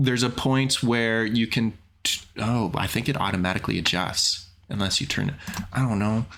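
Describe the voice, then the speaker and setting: Amid noticeable background noise, a man speaks at a moderate pace and medium pitch, with ordinary pitch variation and very even loudness. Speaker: game show host. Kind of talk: casual chat.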